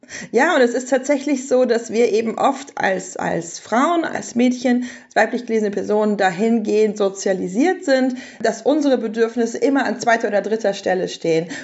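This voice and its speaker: With a normal speaking voice, a woman talks at a moderate pace in a fairly high pitch, with ordinary pitch variation and big swings in loudness. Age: 30s. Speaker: parenting author and journalist. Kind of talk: podcast interview.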